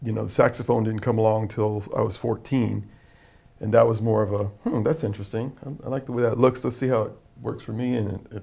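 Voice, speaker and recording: A man speaks at a very fast pace with a medium pitch and fairly even intonation. His tone is dark and mellow, with vocal fry. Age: 60s. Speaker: jazz musician and singer. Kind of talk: casual interview.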